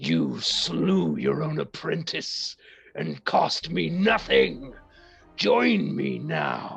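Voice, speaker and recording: A man's put-on character voice, very deep and low, raspy, at a very slow pace, with faint music in the background. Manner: menacing, taunting.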